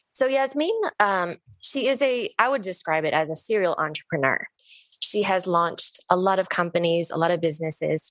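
In a plain, everyday voice, a woman of medium pitch talks at a moderate pace with lively intonation. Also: quiet background. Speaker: podcast host. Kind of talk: interview, conversational. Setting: video call.

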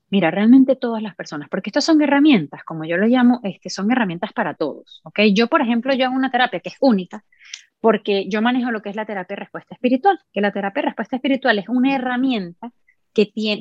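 A woman's fairly high, very fast voice with lively intonation in a Venezuelan accent. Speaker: musician and sound therapist. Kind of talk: casual interview conversation.

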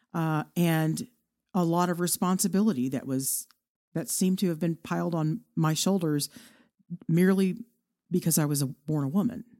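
A woman's fairly low, dark, mellow voice in a Texan accent, at a moderate pace with ordinary pitch variation and long, frequent pauses, in a very clean recording with a silent background. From Texas, Irving (Dallas area). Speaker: podcaster. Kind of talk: interview.

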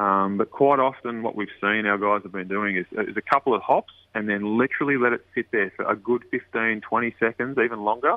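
A man with an Australian accent, medium-pitched and fairly quick. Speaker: tackle company rep. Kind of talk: interview, product talk.

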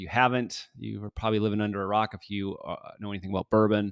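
A man with a fairly low voice speaks over a quiet background, the sound dry and close with no echo. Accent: American. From Michigan. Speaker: podcast host. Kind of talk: casual chat. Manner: halting.

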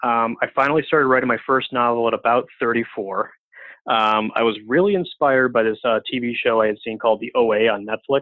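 A man with an ordinary speaking voice talks at a fairly quick pace, with ordinary pitch variation. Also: medium pitch for a man. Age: 30s. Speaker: author. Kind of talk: casual chat; reading aloud.

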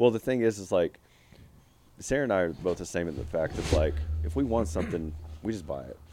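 Speaking very fast yet with long, frequent pauses, a man uses a very deep, low pitch, a dark, mellow tone, vocal fry and lively intonation. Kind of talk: casual chat.

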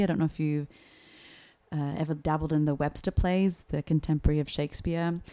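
In an Australian accent, a woman speaks at a very fast pace. Her voice is very deep and low, with a dark, mellow tone. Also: very clean recording, silent background. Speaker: actor and playwright, speech coach. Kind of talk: casual chat. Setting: studio.

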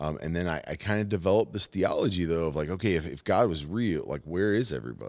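A man's very deep, low voice, very fast and lively in intonation, on a very clean recording with a silent background. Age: 40s. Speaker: former prisoner sharing faith testimony. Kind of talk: testimony.

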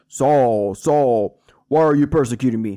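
The man adopts a put-on character voice pitched in the middle range. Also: moderate pace.

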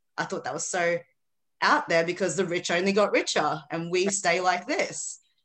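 A woman with an Australian accent, fairly low pitch and ordinary pitch variation, at a moderate pace against a quiet background. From Philippines. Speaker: author and mindset coach. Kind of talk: casual interview chat.

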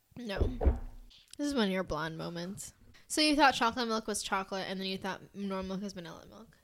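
Talking at a very fast pace with an American accent, a woman has a medium pitch, an animated tone, lively intonation and big swings in loudness. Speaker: podcast host. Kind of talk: casual chat. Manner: animated, giggly.

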